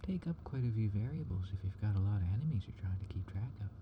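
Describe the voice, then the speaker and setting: A man speaks softly in a calm tone. His pitch is fairly low, with ordinary variation. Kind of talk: software tutorial narration, casual talk to camera. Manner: soft-spoken, calm.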